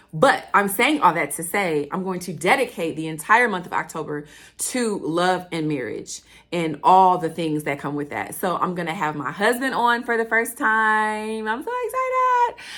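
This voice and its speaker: An animated woman talks at medium pitch and a moderate pace, her intonation lively and her tone bright and sharp. The recording is very clean, with a silent background. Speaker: podcast host. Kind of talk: casual monologue.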